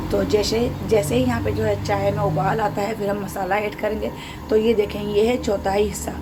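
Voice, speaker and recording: A woman is speaking with audible room echo. Noticeable background noise can be heard as well. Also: moderate pace. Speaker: cooking channel host. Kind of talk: cooking tutorial.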